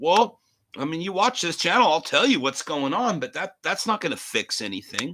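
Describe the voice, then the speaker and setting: A man's raised, projected voice has a bright, sharp tone and very wide pitch swings. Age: 50s. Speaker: talk show host. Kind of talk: live rant. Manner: animated.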